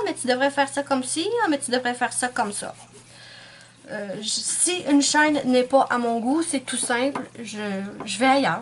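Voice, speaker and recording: Speaking at a moderate pace, a woman with a high pitch is heard over noticeable background noise. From Quebec. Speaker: nail art YouTuber. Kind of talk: casual vlog monologue. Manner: hesitant, many fillers.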